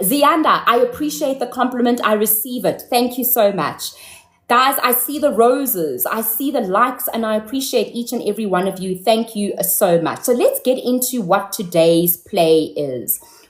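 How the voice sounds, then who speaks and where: This woman has an unremarkable speaking voice, pitched fairly high. Her moderate pace carries lively intonation. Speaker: live-stream host. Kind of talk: casual live-stream talk to viewers. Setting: live stream.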